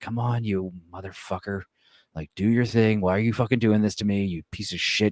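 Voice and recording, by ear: A man does a put-on character voice at a fairly low pitch. He moves at a fairly quick pace in a very clean recording with a silent background.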